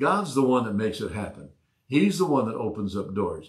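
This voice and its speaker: Against a quiet background, a man talks with a somewhat breathy voice. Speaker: pastor, online Bible study host. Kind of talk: preaching, conversational sermon. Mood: calm, earnest. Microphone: lapel.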